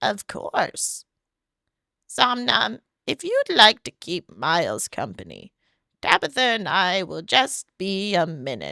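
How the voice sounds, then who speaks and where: In a very clean recording with a silent background, a put-on character voice at a middle pitch moves at a fairly slow pace. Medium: solo performance. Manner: soft, courteous.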